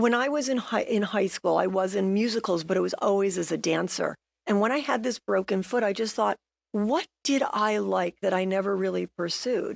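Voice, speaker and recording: A woman of medium pitch talks in a plain, everyday voice at a moderate pace, with ordinary pitch variation, very even loudness and a dry, close sound with no echo. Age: 60s. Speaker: real estate agent and senior ballroom dancer. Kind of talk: TV interview. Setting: TV studio.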